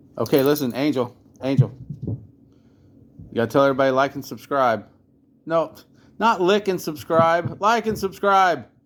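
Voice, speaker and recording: A fairly high-pitched man with lively intonation at a moderate pace, long and frequent pauses, on a very clean recording with a silent background. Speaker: drum restorer, YouTuber. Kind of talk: tutorial; casual chat. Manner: rambling, casual.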